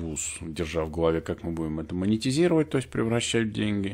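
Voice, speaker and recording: Lively intonation marks this man's voice. He speaks at a very fast pace. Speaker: IT and organizational development consultant, channel host. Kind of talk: solo educational talk to camera. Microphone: new studio recording system.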